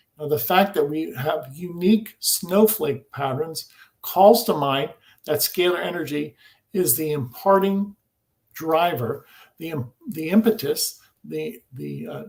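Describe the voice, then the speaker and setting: A normal speaking voice from a man, fairly high-pitched, at a fairly slow pace, with lively intonation and big swings in loudness. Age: 60s. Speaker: scalar energy researcher. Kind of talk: interview. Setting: live video stream.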